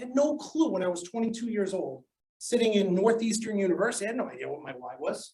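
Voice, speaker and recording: The speech moves at a very fast pace. It is delivered in a Boston accent. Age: 40s. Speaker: sales professor. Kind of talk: lecture. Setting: classroom. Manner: animated.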